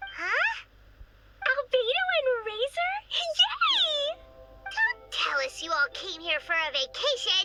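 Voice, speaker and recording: A put-on character voice at an extremely high pitch speaks at a very slow pace. Music plays in the background. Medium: video game. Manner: excitable, chatty.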